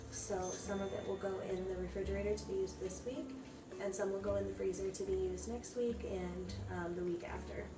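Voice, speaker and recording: A soft-spoken woman at a fairly quick pace, with noticeable background noise. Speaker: home baker. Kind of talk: casual baking tutorial.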